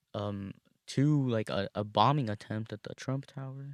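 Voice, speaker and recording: The recording is very clean with a silent background, dry and close with no echo, as a man speaks with ordinary pitch variation. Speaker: show host. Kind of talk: casual solo livestream chat. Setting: in a car. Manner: casual, rambling with hesitations.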